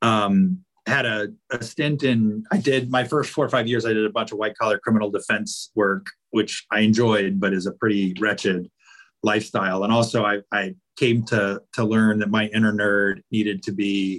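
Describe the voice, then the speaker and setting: This man talks at a moderate pace in an unremarkable speaking voice. His voice sits fairly low, with fairly even intonation. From Virginia (Roanoke). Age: 40s. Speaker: lawyer. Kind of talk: casual chat.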